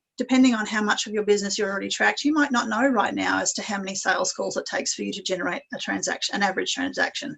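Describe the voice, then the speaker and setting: Words pour out very fast while the pitch varies in an ordinary way. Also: woman. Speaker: business coach. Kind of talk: webinar presentation.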